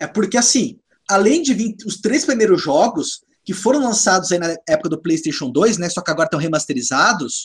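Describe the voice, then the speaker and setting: A man talks at a fairly quick pace, his high pitch swinging very widely. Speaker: gaming podcast host. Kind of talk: casual chat.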